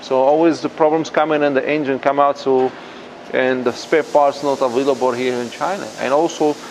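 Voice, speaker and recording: A man's fairly high voice at a fairly quick pace, with noticeable background noise. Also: fairly even intonation. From Morocco. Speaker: drift garage owner. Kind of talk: guided tour.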